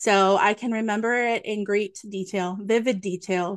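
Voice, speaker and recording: A woman with an ordinary speaking voice and fairly even intonation against a quiet background. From Nova Scotia, Canada. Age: 40s. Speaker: psychic medium. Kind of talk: interview. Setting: video call.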